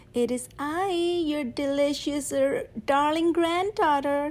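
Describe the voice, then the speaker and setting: A woman's put-on character voice, high-pitched and fairly slow, over light background noise. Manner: sly, disguising himself as the granddaughter.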